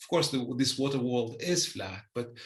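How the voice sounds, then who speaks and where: A man's pitch varies in an ordinary way while the room echo stays audible. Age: 60s. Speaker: environmentalist and engineer. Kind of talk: interview. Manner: halting, with many repetitions.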